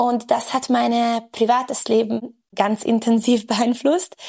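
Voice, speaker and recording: A woman talks at a fairly slow pace and a fairly high pitch. She has a plain, everyday voice. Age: 30s. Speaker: women's health and fitness coach. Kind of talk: interview.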